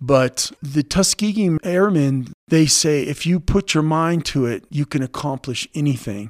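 An ordinary speaking voice moves at a fairly slow pace with hardly any pauses and ordinary pitch variation, in a dry, close sound with no echo. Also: man, fairly high pitch for a man. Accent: American. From California (Los Angeles, later Chico). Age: 50s. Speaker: baseball coach. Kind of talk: interview.

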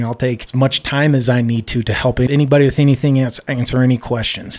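A man with an American accent speaks at a very fast pace and medium pitch. His intonation is fairly even, and the recording is very clean with a silent background. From Colorado (Golden, then San Luis Valley). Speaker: gym owner. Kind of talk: interview.

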